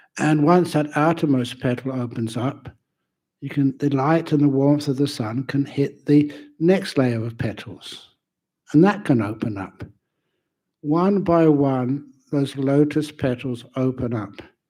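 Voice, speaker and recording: In a London accent, a man talks at a fairly slow pace with a fairly high pitch, ordinary pitch variation and a dark, mellow tone. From England, London. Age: 70s. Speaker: Buddhist monk and teacher. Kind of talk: dharma talk. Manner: casual, humorous.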